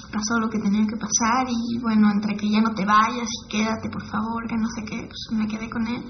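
With light background noise, a woman in a Mexico City accent talks at a moderate pace and fairly high pitch, in a monotone, flat intonation with hardly any pauses. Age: 20s. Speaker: documentary interviewee; interviewee. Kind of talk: personal testimony. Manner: casual slangy speech.

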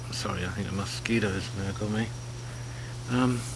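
Lively intonation from a man, with noticeable background noise behind him. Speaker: personal video blogger. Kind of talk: casual talk to camera. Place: garden. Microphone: webcam.

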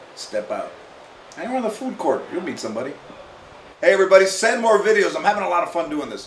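Very fast male speech with audible room echo and light background noise. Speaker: talk show host answering viewer. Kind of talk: casual comedic advice to camera. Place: home room.

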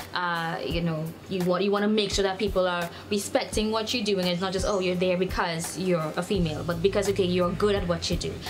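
A woman speaks at a fairly quick pace with hardly any pauses, over music in the background. Her medium-pitched voice stays monotone and flat. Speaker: interviewer, host.

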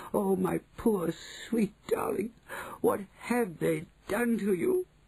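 Using a put-on character voice, a man speaks high in pitch with a tearful tone. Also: fairly slow pace. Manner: tearful, anguished, tender.

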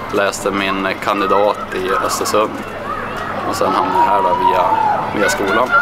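Pausing long and often, a man speaks at a moderate pace over loud background noise. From Kramfors, Höga kusten, northern Sweden. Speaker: fitness coach. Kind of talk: interview answer. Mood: friendly, relaxed. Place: stadium.

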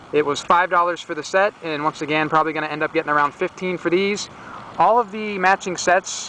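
A man's high voice at a moderate pace with fairly even intonation, the sound dry with no echo and light background noise. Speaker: reseller. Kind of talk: casual vlog chat. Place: garden. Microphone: phone near.

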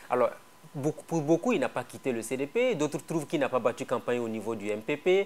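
Speaking fairly quickly with lively intonation, a man has a plain, everyday voice pitched fairly high. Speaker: TV talk show host. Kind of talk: TV interview. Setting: TV studio. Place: studio. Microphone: lapel.

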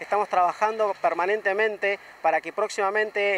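In a Rioplatense accent, a man with a high voice speaks at a fairly quick pace with fairly even intonation, in a dry, close sound with no echo. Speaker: taekwondo instructor. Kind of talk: promotional announcement. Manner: halting, many fillers.

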